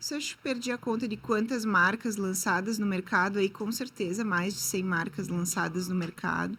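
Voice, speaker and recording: Hardly pausing, a woman talks at a moderate pace and medium pitch with a bright, sharp tone and vocal fry in a very clean recording with a silent background. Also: ordinary pitch variation. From southern Brazil, Rio Grande do Sul. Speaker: marketing entrepreneur. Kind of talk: interview podcast.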